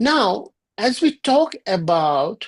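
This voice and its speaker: Over a quiet background, a woman with a Bengali accent speaks with very wide pitch swings, recorded dry and close with no echo. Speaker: yoga and ayurveda teacher. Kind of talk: lecture.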